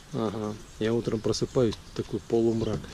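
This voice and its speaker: Background noise is noticeable here. The man's voice sits at a medium pitch. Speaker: travel vlogger. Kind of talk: vlog narration. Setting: outdoors. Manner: casual.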